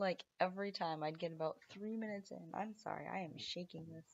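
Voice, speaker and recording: The pace is moderate. The speaker is a woman. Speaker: vlogger, parent with Tourette syndrome. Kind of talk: casual vlog monologue. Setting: home, at night. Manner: vocal tics, interjections.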